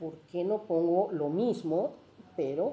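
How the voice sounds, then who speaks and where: A woman's dark, mellow voice, fairly low in pitch, with ordinary pitch variation. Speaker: literary translator and professor emerita. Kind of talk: panel talk about translation. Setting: university event with live audience. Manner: animated.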